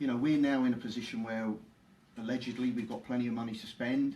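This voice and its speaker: A man with a London accent talks at a fairly quick pace, his medium-pitched voice dark and mellow in tone, with fairly even intonation. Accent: London accent, never shifted. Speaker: former footballer and club ambassador. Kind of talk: interview. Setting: live Facebook stream at football stadium.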